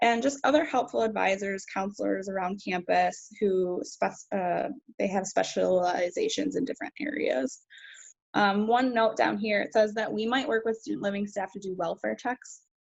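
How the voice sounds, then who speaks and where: A woman with an unremarkable speaking voice and a medium pitch speaks at a moderate pace with lively intonation. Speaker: university student affairs staff. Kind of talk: virtual presentation.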